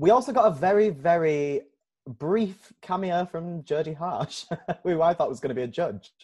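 A man with a Yorkshire accent speaks at a moderate pace in a high pitch, his intonation lively. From Leeds, England. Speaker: podcast co-host and drag performer. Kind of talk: casual chat.

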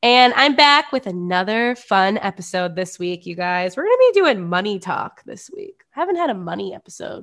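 A Midwestern American accent carries very wide pitch swings and an animated tone. The pace is moderate, with hardly any pauses. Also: woman, medium pitch for a woman. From US Midwest. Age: 20s. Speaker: podcast host. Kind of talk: casual chat.

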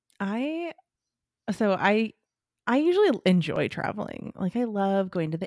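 An ordinary speaking voice, a woman with an American accent talks at a moderate pace with lively intonation, dry and close with no echo, in a very clean recording with a silent background. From California Central Valley. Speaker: podcast co-host. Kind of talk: casual chat. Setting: in person.

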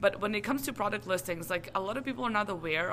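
A woman at medium pitch with a Serbian accent, bright and sharp in tone, at a very fast pace. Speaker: translation business owner. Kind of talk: interview. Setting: conference.

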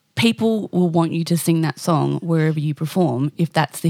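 A woman with an Australian accent, very deep, low pitch and a dark, mellow tone, at a moderate pace in a dry, close sound with no echo. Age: 30s. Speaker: singer-songwriter and podcast host. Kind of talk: casual interview.

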